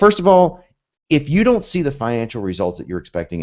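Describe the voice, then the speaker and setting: This man talks at a very fast pace in an animated tone. The background is quiet. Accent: American. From US, both South and North. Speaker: copywriting instructor. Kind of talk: webinar lecture. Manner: fast, animated.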